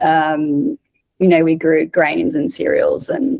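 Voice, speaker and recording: This woman talks with an Australian accent. Her pace is very slow. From South Australia. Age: 30s. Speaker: breathwork facilitator. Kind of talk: casual chat.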